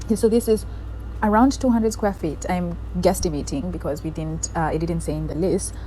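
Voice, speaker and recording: A woman speaks amid noticeable background noise, with audible echo from the room. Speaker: lifestyle vlogger. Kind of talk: casual apartment tour vlog. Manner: sped-up playback, naturally slow talker.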